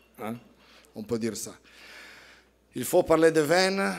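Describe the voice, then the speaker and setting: Speaking at a very slow pace, a man with an Italian accent uses ordinary pitch variation. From Italy, Piedmont. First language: Italian (speaking French). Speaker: winemaker. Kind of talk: presentation to audience. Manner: halting, repeating words.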